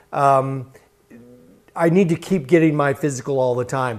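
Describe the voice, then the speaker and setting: The man has an ordinary speaking voice, at medium pitch with ordinary pitch variation, and a moderate pace. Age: 60s. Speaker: TV news host. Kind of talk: TV health interview.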